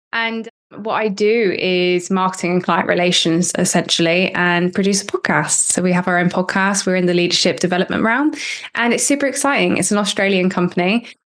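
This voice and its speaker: In a West Country accent, a woman talks at a fairly quick pace with very even loudness. Her pitch is medium, with ordinary pitch variation. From Cornwall, southwest England. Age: 20s. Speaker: marketer and podcast producer. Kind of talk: interview.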